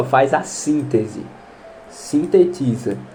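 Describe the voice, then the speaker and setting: A man's voice over noticeable background noise. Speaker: biology tutor for exam prep. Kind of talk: online lesson, exam question walkthrough. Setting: home recording. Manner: casual, conversational.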